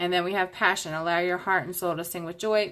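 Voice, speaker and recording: On a very clean recording with a silent background, a woman speaks in a bright, sharp tone with fairly low pitch and monotone, flat intonation. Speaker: tarot reader. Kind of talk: tarot reading monologue.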